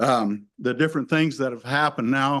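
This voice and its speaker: This man speaks at a fairly slow pace in a medium pitch, his intonation fairly even. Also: quiet background. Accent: American. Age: 60s. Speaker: hunter and retired teacher giving public comment. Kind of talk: public comment at a hearing. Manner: halting, many fillers.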